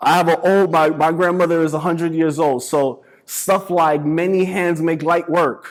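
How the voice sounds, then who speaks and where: An animated man with a New York accent, high-pitched, moderate in pace, with hardly any pauses. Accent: New York City. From New York City (the Bronx). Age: 30s. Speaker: motivational speaker. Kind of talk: talk to students.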